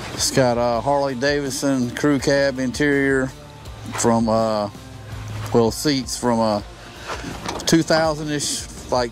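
Against clear background music, the voice moves very slowly with fairly even intonation and long, frequent pauses, the sound dry with no echo. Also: man. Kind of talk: casual show-and-tell description. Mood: relaxed, proud. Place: open country.

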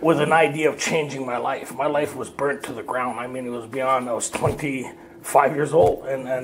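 A moderate pace and fairly even intonation in a Canadian accent, with noticeable background noise. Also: man. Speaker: recovery workshop speaker. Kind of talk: personal testimony talk. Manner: casual, conversational.

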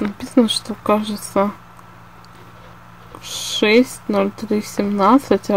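A woman's medium-pitched voice, dry with no echo, over light background noise. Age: 20s. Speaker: illustrator and artist. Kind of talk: casual talk to camera. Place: home room. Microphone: phone near.

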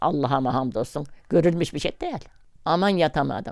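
A woman's moderately paced speech with ordinary pitch variation, on a very clean recording with a silent background. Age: 80s+. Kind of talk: interview answer.

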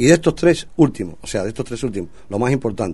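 This man's tone is dark and mellow. His intonation is lively. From Cuba. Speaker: singer. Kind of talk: radio interview. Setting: studio. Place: studio.

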